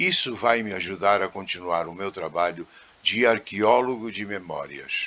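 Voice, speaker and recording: A man speaks with a bright, sharp tone. His pitch is fairly low and varies in an ordinary way. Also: fairly slow pace. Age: 70s. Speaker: channel owner, former circus technician. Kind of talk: scripted channel introduction.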